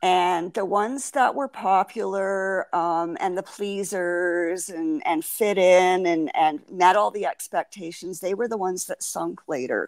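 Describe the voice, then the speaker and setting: A woman with a normal speaking voice, medium pitch, ordinary pitch variation, fairly slow pace and hardly any pauses, on a very clean recording with a silent background. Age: 60s. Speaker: podcast guest. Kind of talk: interview.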